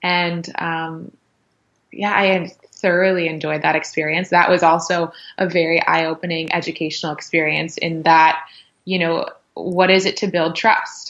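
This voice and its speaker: A woman's fairly low voice in an American accent, moderately paced, with monotone, flat intonation. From US West Coast, Los Angeles. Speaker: yoga and pilates instructor. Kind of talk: podcast interview, personal story. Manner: casual, filler-heavy speech.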